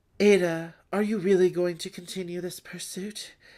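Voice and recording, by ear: The text is read aloud in a natural voice.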